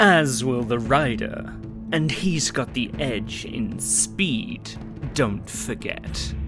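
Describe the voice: Someone speaks very slowly in a put-on character voice. Loud music plays in the background. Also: man.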